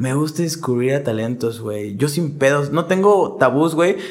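A man with lively intonation keeps a moderate speed while noticeable noise sounds behind him. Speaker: rapper and law student. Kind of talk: casual chat.

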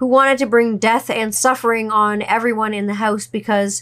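At a very fast pace, a woman speaks in a fairly high voice with fairly even intonation on a very clean recording with a silent background. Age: 30s. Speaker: podcast host. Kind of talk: casual monologue storytelling.

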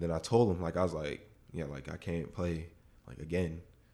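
With vocal fry, a man speaks at a moderate pace in a very deep, low pitch, his tone dark and mellow and his intonation fairly even. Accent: American. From South Florida, West Palm Beach. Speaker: college football player. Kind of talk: interview. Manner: halting, many fillers.

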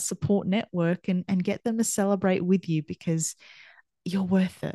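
A woman with an Australian accent, medium pitch and a dark, mellow tone, at a moderate pace with monotone, flat intonation, in a dry, close sound with no echo. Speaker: podcast host and performance coach. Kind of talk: solo monologue. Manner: conversational, with fillers and restarts.

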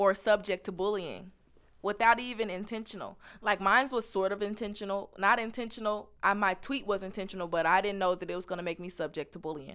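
An animated tone at a very fast pace. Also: woman, medium pitch for a woman. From Missouri, Kansas City. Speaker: university student. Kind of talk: interview.

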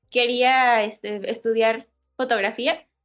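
A high-pitched woman's voice with a Mexican accent. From Mexico, Oaxaca. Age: 20s. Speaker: barista. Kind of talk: casual chat. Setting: video call.

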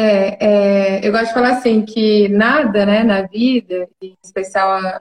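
This woman has a fairly high, somewhat breathy voice with fairly even intonation. The sound is dry and close, with no echo. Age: 20s. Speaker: clinical psychologist. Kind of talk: casual chat.

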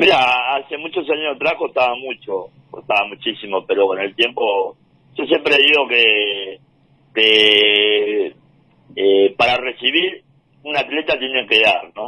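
An unremarkable speaking voice belongs to a man who talks at a fairly slow pace in a medium pitch with ordinary pitch variation. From Argentina, Entre Ríos (Concepción del Uruguay). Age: 40s. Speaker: paralympic wheelchair racer. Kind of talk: interview.

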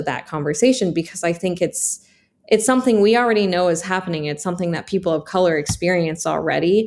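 The speaker has an American accent and ordinary pitch variation. The recording is very clean with a silent background. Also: woman. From Washington State, US (Snoqualmie). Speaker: filmmaker. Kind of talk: casual interview.

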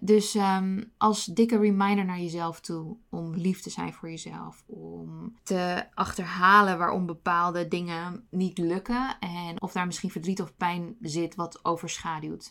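Very slow yet with hardly any pauses, a woman's fairly low voice keeps a fairly even intonation while its loudness swings widely. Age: 30s. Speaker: podcast host. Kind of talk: personal monologue.

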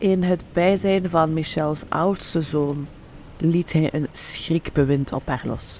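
A woman's fairly low voice at a very slow pace, ordinary pitch variation, and noticeable background noise. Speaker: true crime podcast narrator. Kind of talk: true-crime narration, scripted and read aloud in an ominous tone. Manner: grave, measured, suspenseful storytelling.

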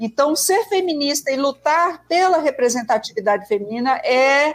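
A woman with a high voice talks fairly slowly, her pitch swinging very widely. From Brazil, Northeast. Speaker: sociologist. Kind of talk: interview.

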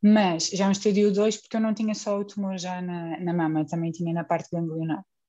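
Over a quiet background, a woman talks fairly quickly at a medium pitch. Her tone is dark and mellow, with fairly even intonation. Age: 30s. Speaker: guest. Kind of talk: casual chat.

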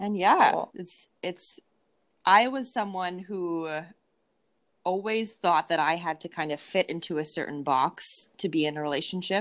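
This woman has an unremarkable speaking voice, fairly low in pitch, with a Canadian accent and ordinary pitch variation. She speaks at a fairly slow pace on a very clean recording with a silent background. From Canada, Winnipeg, Manitoba. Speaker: dating and mindset coach. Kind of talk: casual interview chat.

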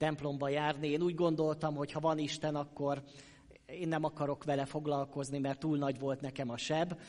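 A man talks at a moderate pace in a plain, everyday voice, pitched fairly high. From Hungary, Sopron. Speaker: pastor. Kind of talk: sermon. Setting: church.

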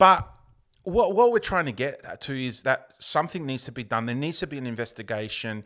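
Bright, sharp tone with lively intonation at a fairly quick pace, in an Australian accent, on a very clean recording with a silent background. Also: man, medium pitch for a man. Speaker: podcast host. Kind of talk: casual chat. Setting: studio.

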